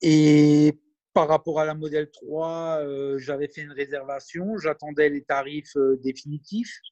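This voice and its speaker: A man talks at a very slow pace in a fairly high pitch, with fairly even intonation and big swings in loudness. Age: 40s. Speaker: electric car owner. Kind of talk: interview. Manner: hesitant.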